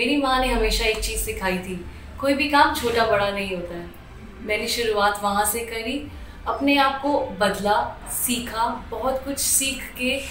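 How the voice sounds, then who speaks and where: Over noticeable background noise and audible room echo, a woman talks at a fairly high pitch with ordinary pitch variation. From Delhi, India. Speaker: hospital staff, former aviation worker. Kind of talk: interview testimony.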